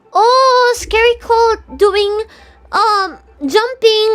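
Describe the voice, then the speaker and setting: Noticeable background noise sits under a woman speaking at an extremely high pitch. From Philippines. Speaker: VTuber streamer. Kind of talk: reading visual novel aloud with commentary; casual live-stream chat. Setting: live stream.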